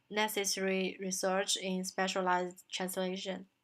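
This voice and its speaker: A woman with a Chinese accent speaks at a fairly slow pace in a medium pitch. The recording is very clean, with a silent background. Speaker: translation student. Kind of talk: recorded self-presentation. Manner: halting, many fillers.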